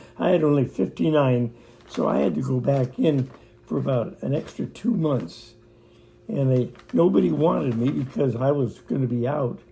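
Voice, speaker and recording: A man with an American accent speaks at a moderate pace in a medium pitch, his dark, mellow tone somewhat breathy and his intonation lively. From Pacific Northwest, USA. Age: 90s. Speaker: WWII veteran. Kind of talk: interview answer.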